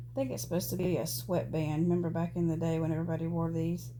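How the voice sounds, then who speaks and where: A woman speaks with audible room echo. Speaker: doll collector vlogger. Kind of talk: casual chat. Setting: at home. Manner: halting, filler-heavy.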